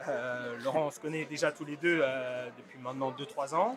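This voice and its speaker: A man with a fairly high voice talks at a moderate pace over noticeable background noise. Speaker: student podcast host. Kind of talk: interview. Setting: rooftop. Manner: energetic.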